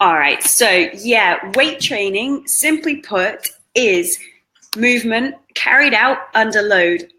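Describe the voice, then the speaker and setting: With a British accent, a woman speaks at a fairly slow pace with a fairly high pitch and lively intonation. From Britain. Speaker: fitness trainer. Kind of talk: interview.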